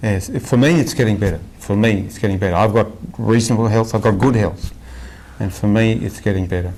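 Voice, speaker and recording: At a fairly quick pace, a man with an Australian accent talks in a fairly low pitch with ordinary pitch variation. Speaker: spiritual devotee. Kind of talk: interview. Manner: halting, many repetitions.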